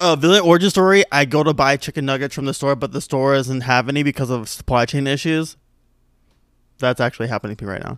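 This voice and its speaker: The speech rushes along at a very fast pace with ordinary pitch variation. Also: man, fairly high pitch for a man. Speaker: podcast co-host. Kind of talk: casual chat. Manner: animated.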